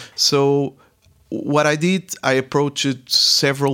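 In a very clean recording with a silent background, a man with a Portuguese accent speaks at a very slow pace. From Portugal. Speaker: startup mentor and entrepreneur. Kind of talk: interview.

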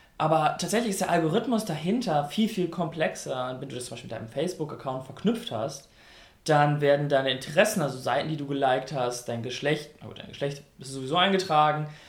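In a room with audible echo, a man speaks very fast at a fairly high pitch, his intonation lively and his loudness swinging widely. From North Rhine-Westphalia, Germany. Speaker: radio host. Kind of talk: casual chat.

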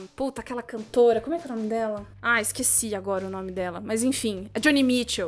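With music in the background, a woman with a fairly high pitch speaks in an animated tone at a very fast pace, with hardly any pauses, big swings in loudness and ordinary pitch variation. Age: 20s. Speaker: podcaster and voice performer. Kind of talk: casual chat. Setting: remote call.

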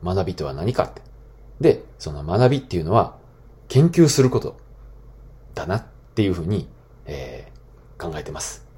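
A man's very deep, low pitch with vocal fry, very wide pitch swings and big swings in loudness, at a moderate pace with long, frequent pauses. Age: 30s. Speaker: podcast host, former school teacher. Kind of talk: solo talk podcast monologue. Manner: casual with many fillers.

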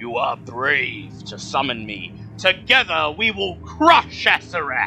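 Using a put-on character voice, a man speaks at a fairly slow pace and medium pitch. Clear background noise is present.

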